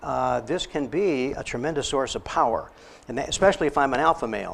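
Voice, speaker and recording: With an American accent and vocal fry, a man speaks at a moderate pace with ordinary pitch variation. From Texas border. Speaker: psychologist. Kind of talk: lecture.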